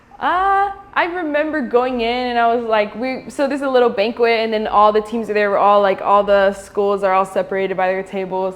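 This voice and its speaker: A woman with an American accent, fairly high pitch and ordinary pitch variation, at a fairly quick pace with hardly any pauses, over noticeable background noise. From Florida. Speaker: college soccer goalkeeper. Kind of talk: interview. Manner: casual, filler-heavy.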